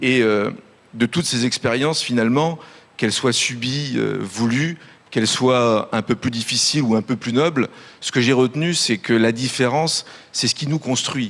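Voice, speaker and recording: This is an ordinary speaking voice with ordinary pitch variation. The pace is moderate. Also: man. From France (urban priority zones), born in Italy. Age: 40s. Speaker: business executive. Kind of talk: conference panel speech.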